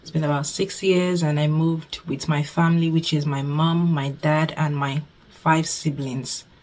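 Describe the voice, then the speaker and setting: Slow-ish and monotone, a woman speaks in a very deep, low pitch with flat intonation against noticeable background noise. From Nigeria. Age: 20s. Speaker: budgeting YouTuber and nursing student. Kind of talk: casual vlog Q&A.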